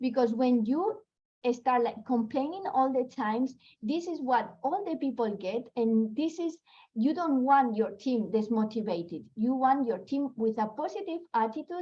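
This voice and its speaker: A woman speaks with a non-native accent and lively intonation. Her pitch is high and her pace moderate. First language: not English. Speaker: network marketing leader. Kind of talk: motivational talk. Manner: halting.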